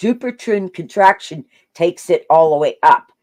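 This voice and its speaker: A woman with medium pitch speaks loud, with an animated tone at a moderate pace. The sound is dry and close with no echo, on a very clean recording with a silent background. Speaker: online video host. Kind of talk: casual chat.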